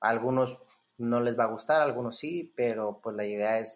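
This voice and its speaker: A man with a plain, everyday voice speaks at a fairly slow pace, his medium pitch held in fairly even intonation. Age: 20s. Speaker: entrepreneur and business coach. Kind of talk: casual interview.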